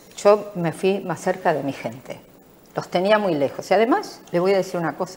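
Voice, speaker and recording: Speaking with an Argentine accent and ordinary pitch variation, this voice comes through over noticeable background noise. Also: woman, medium pitch for a woman, moderate pace. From Argentina. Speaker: local politician. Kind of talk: interview.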